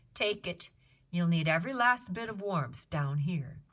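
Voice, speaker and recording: Someone uses a put-on character voice at a middle pitch and a moderate pace. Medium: read story.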